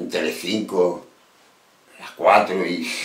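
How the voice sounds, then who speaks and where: A man speaks at a very slow pace in an Andalusian accent. Noticeable background noise runs underneath. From Andalusia, Spain. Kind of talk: casual talk to camera. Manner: passionate, emphatic.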